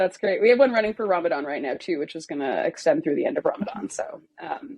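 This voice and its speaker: A woman talks at a very fast pace. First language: German. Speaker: product localization manager. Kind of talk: interview. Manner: casual, hesitant with fillers.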